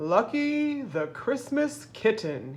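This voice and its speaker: A woman's put-on character voice, fairly high-pitched, with very wide pitch swings. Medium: read story.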